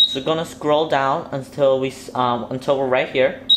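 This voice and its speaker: Moderate pace, with noticeable background noise. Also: man. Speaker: hobbyist tutorial maker. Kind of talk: tutorial. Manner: hesitant, many filler ums.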